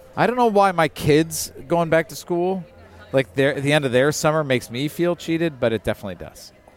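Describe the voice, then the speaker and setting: Talking at a fairly quick pace, a man uses lively intonation. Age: 40s. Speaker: podcast host. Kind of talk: casual chat. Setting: outdoors at a brewery.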